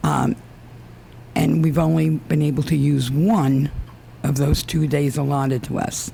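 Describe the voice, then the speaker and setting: At a fairly slow pace, the speech comes through noticeable background noise. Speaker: resident speaking at public comment. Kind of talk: public comment at council meeting. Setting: town council meeting with microphone. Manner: soft-spoken; hesitant, many fillers.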